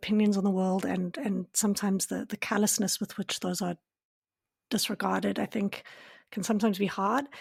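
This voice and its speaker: A woman's somewhat breathy, medium-pitched voice at a fairly quick pace, with fairly even intonation, a dry, close sound with no echo, and a very clean recording with a silent background. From South Africa. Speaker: podcast host. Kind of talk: interview conversation.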